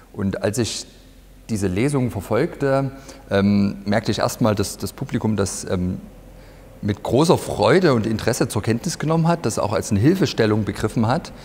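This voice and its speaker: This man talks at a moderate pace. His pitch is fairly low. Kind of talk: interview answer. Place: hall. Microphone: lapel.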